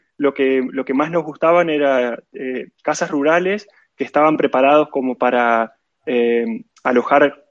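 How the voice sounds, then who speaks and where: A man talks with an Argentine accent, the sound dry and close with no echo. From Argentina. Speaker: event organizer, programmer. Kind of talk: casual interview chat.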